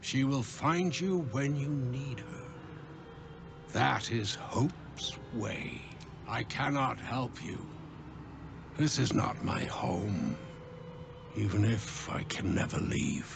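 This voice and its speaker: At a very slow pace, a man speaks in a put-on character voice at a medium pitch. Loud background noise runs behind him. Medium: machinima. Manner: somber, solemn.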